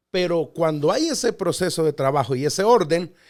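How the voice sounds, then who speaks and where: Recorded very cleanly over a silent background, a man with an unremarkable speaking voice and fairly high pitch talks at a moderate pace. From Mexico City, Mexico. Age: 40s. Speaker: pastor. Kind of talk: podcast interview.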